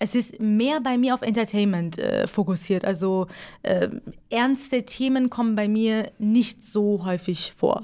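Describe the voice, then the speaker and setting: In a very clean recording with a silent background, a woman with a Persian accent speaks at a medium pitch and a very slow pace, using ordinary pitch variation. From Iran. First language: Persian (speaking German). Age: 20s. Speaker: stand-up comedian. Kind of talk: casual interview.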